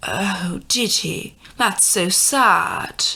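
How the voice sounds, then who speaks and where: This woman uses a put-on character voice at a medium pitch. The voice is raspy. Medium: read story.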